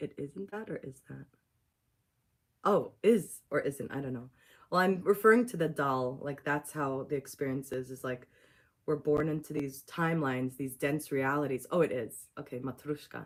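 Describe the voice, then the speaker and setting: A woman with a Russian accent and a very deep, low pitch shows ordinary pitch variation and big swings in loudness. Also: moderate pace. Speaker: spiritual teacher and channeler. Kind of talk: spiritual teaching on a livestream. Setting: YouTube livestream.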